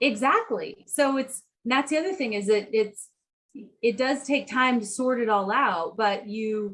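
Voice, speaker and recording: Her pitch high and her pace fairly slow, a woman is talking. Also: ordinary pitch variation. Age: 50s. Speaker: nutritionist and endurance athlete. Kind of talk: podcast interview.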